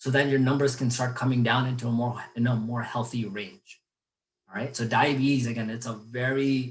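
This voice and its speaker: A man talks in a somewhat breathy voice. There is little rise and fall in his fairly even intonation. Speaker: physical therapist. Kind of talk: webinar lecture. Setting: live webinar. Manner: fast.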